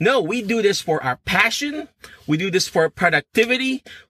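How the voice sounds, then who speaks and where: A man's raised, projected voice, animated and bright, sharp in tone, with lively intonation at a moderate pace, in a dry, close sound with no echo. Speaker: physical therapist and career coach. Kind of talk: motivational livestream talk. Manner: halting.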